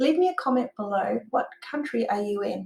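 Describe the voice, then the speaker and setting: In an Australian accent, the speaker talks at a moderate pace with lively intonation and audible room echo. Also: woman. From Australia, Perth. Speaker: online business owner and software tutor; online course creator. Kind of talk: tutorial. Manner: casual with filler words. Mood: enthusiastic, friendly. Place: home room.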